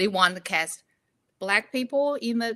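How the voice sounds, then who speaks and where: With a Chinese accent, a woman speaks at a moderate pace in a fairly high pitch, her tone bright and sharp, her pitch varying in an ordinary way. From Inner Mongolia, China. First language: Mandarin Chinese. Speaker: actor. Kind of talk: interview. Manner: halting.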